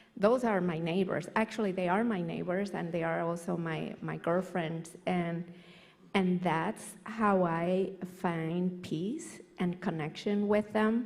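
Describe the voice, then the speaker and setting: At a very slow pace, a woman with a medium-pitched voice speaks with fairly even intonation. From Puerto Rico. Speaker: church member, panelist. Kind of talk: panel discussion.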